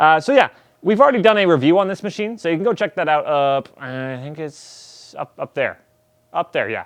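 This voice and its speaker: This man talks at a fairly quick pace with a high pitch and very wide pitch swings. His loudness swings widely in a dry, close sound with no echo. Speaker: coffee gear store staff presenter. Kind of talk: casual unboxing video. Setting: filming alone in store. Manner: fast; casual, halting with many fillers.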